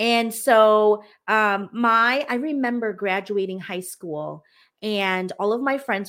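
Pitch moves up and down to an ordinary degree. The background is silent on this very clean recording. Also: woman. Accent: American. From US, Hmong American family. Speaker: business coach. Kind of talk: casual chat. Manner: animated.

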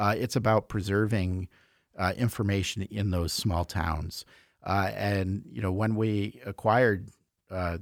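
A man with an unremarkable speaking voice, fairly low in pitch with ordinary pitch variation, talks at a moderate pace in a very clean, dry, close recording with a silent background and no echo. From US Midwest, Chicago. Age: 40s. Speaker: newspaper executive editor. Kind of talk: casual interview. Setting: studio.

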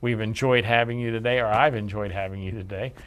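A man speaks in a normal speaking voice at medium pitch, at a moderate pace with ordinary pitch variation. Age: 60s. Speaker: podcast host and small business owner. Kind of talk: educational show monologue. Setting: studio.

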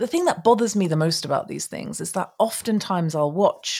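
On a very clean recording with a silent background, a woman with a British accent speaks at a moderate pace, her dark, mellow tone somewhat breathy and her intonation lively. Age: 40s. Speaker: tarot reader. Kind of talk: casual monologue. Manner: animated.

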